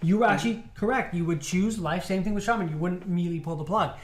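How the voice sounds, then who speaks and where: The speaker talks at a very fast pace. Background noise is noticeable. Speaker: medical intern, video host. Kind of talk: casual panel discussion.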